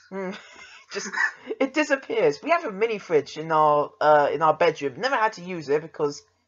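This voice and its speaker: A man with a high pitch and an English accent, lively intonation, moderate pace and big swings in loudness. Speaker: podcast host. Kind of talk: casual chat.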